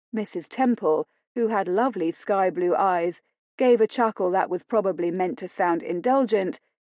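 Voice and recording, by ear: Against a quiet background, the speaker is reading aloud in a natural voice, with ordinary pitch variation.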